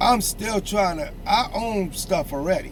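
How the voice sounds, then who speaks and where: A man speaks at a high pitch with lively intonation. Noticeable background noise and audible room echo surround his voice. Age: 60s. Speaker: street podcast host. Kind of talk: casual chat. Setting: outdoors. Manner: animated.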